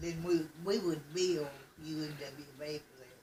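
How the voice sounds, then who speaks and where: A woman with an Appalachian accent speaks in a very deep, low pitch with monotone, flat intonation. Noticeable background noise runs beneath her. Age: 80s+. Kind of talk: family oral history interview.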